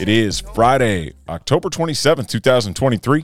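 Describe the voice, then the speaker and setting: A man is heard in a very clean recording where the background is silent. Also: dry, close sound with no echo. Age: 40s. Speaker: sports betting podcast host. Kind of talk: casual chat. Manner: animated.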